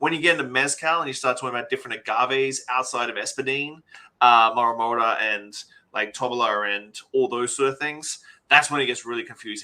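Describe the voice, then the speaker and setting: Man with an Australian accent, medium pitch and a bright, sharp tone, fairly quick pace with ordinary pitch variation. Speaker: bar owner and spirits expert. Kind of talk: interview.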